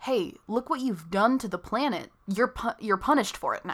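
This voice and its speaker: A woman's ordinary speaking voice at a moderate pace with ordinary pitch variation, on a very clean recording with a silent background. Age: young. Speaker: podcast host. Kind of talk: casual chat.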